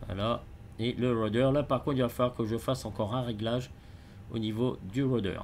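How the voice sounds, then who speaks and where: A man speaks at a fairly quick pace and medium pitch with long, frequent pauses. His intonation is monotone and flat, and his loudness stays very even. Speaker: flight simulator gamer. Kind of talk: gameplay commentary. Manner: halting, many hesitations.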